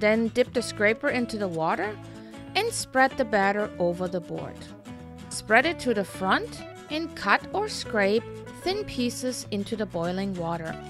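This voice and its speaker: A woman speaks at a fairly slow pace while music plays in the background. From Stuttgart, Germany. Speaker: home cook. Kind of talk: cooking tutorial talk to camera.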